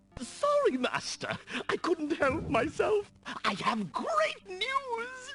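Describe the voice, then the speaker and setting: In a put-on character voice, the speaker goes extremely high in pitch with very wide swings, talking at a very slow pace. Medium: video game. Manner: fawning, eager.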